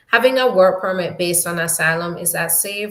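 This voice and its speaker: A woman speaks with a Jamaican accent. Her pitch sits fairly low. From New York. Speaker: immigration attorney. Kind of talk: live Q&A stream. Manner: casual, conversational with fillers.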